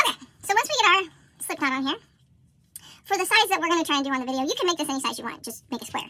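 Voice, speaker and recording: A woman speaks at a very fast pace in a raised, projected voice, her extremely high pitch carrying a bright, sharp tone and lively intonation. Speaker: crochet and history video creator. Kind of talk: tutorial.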